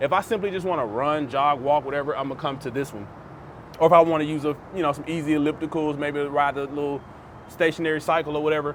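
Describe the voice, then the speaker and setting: A man talks at a very fast pace with a fairly high pitch and fairly even intonation. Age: 30s. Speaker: vlogger. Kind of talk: casual vlog talk to camera. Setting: outdoors on apartment rooftop.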